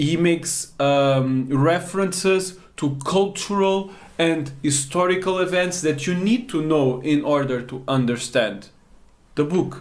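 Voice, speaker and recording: Audible room echo surrounds a man speaking at a fairly slow pace with a Portuguese accent. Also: fairly high pitch for a man, ordinary pitch variation. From Portugal, Baixo Alentejo. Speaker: language learning teacher. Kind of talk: tutorial.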